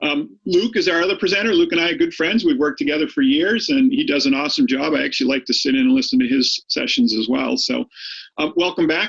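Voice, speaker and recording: Talking at a very fast pace, a man with an American accent swings his pitch very widely. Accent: Boston with some Maine. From Boston, Massachusetts. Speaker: high school statistics teacher. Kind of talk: lecture. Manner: hesitant, many fillers and repeats.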